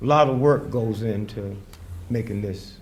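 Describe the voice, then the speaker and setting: A man speaks at a fairly slow pace with ordinary pitch variation and a somewhat breathy voice. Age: 80s+. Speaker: comedian and civil rights activist. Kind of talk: stand-up comedy speech to a live crowd. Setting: outdoors.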